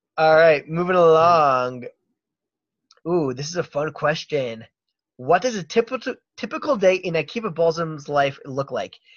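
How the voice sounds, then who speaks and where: A man with an American accent speaks at a moderate pace in a plain, everyday voice, fairly high-pitched for a man, with lively intonation. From Baltimore, US. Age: 30s. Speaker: podcast host. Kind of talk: casual interview.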